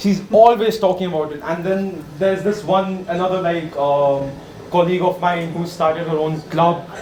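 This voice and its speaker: A man with an Indian accent speaks at a high pitch with fairly even intonation. Background noise is noticeable, and room echo is audible. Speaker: workshop participant. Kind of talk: impromptu speech exercise. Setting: workshop room with audience. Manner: hesitant, filler-heavy.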